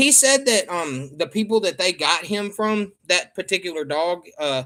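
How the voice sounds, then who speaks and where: A man in a Southern US accent with very wide pitch swings, on a very clean recording with a silent background. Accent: real Southern. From US South. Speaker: livestreamer. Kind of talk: casual chat. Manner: animated.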